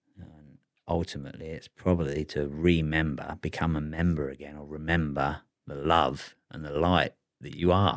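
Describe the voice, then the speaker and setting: A man's very deep, low voice at a moderate pace, monotone and flat in intonation, with big swings in loudness. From England. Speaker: photographer. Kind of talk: casual chat.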